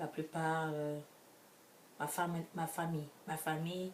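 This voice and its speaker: Against noticeable background noise, a woman with a very deep, low pitch speaks at a very slow pace. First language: an African language, French second (speaking French). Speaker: vlogger. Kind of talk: casual vlog monologue. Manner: halting, many restarts.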